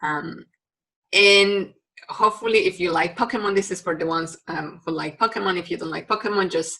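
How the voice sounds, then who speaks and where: Here a woman speaks with a Mexican accent in a bright, sharp tone. Her pitch is medium and varies in an ordinary way. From Mexico. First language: Spanish. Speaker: university biology lecturer. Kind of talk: recorded lecture. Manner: hesitant, many fillers.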